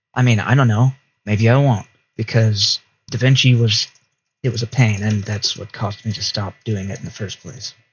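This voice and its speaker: A man speaks at a medium pitch and a moderate pace, his intonation fairly even. His voice is somewhat breathy, with big swings in loudness. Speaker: gaming YouTuber. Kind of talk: casual gameplay commentary. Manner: rambling, hesitant.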